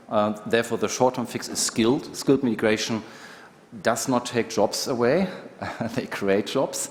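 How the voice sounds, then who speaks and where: Amid noticeable background noise, a man speaks at a medium pitch and a moderate pace, with ordinary pitch variation and long, frequent pauses. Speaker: manufacturing industry representative. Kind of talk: panel discussion.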